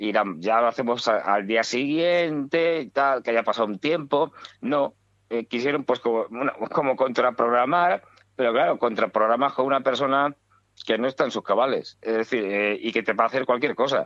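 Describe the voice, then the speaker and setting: Moderate pace and ordinary pitch variation in a man's medium-pitched voice. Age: 60s. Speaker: political commentator. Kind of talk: radio talk show discussion. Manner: halting, many fillers.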